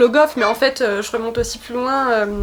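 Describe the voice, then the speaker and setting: Pitch variation stays ordinary. The speaker is a woman with a high pitch. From Brittany, pays de Dol. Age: 20s. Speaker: author and political activist. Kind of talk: interview. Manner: hesitant, many fillers.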